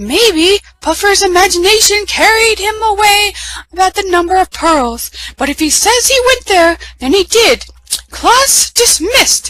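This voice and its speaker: At a moderate pace, a woman puts on a character voice pitched extremely high. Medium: read story. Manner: warm, gentle.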